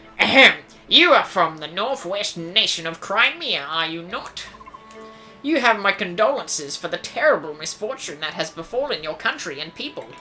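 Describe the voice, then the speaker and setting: A put-on character voice at middle pitch and a moderate pace, with clear music in the background. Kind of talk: reading game dialogue. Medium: actual play. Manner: polite, formal.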